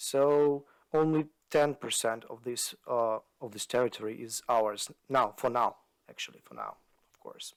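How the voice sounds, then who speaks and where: Speaking at a fairly slow pace with a Ukrainian accent, a man uses a medium pitch with ordinary pitch variation and big swings in loudness. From Ukraine. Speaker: analyst, podcast co-host. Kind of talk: podcast discussion. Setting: video podcast. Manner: halting, many fillers.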